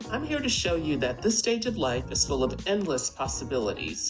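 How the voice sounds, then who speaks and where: Moderately paced speech from a woman, music playing behind her. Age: 60s. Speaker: retiree, channel host. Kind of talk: interview questions, host.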